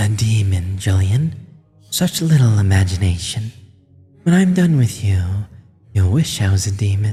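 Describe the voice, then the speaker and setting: A put-on character voice at a moderate pace, with long, frequent pauses, hissing, and faint music in the background. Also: man, fairly low pitch for a man. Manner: menacing, sinister.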